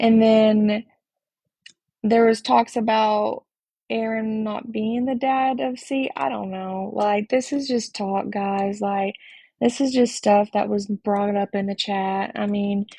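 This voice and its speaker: A woman's somewhat breathy, dark, mellow voice, fairly high in pitch, at a very slow pace against a quiet background. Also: fairly even intonation. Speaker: livestreamer discussing online drama. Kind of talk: casual livestream talk. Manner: halting.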